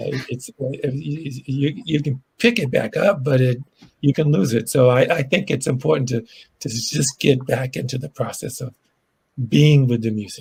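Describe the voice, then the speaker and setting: A somewhat breathy man with an American accent, medium in pitch. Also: ordinary pitch variation, moderate pace. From Boston. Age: 70s. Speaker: blues musician. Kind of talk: casual chat. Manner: halting.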